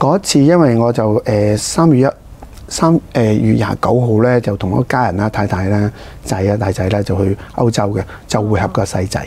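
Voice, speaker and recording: Pitch varies in an ordinary way, and the pace is moderate. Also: man, fairly low pitch for a man. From Hong Kong. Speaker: district councillor, politician. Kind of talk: interview. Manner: halting, many fillers. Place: studio. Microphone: lapel.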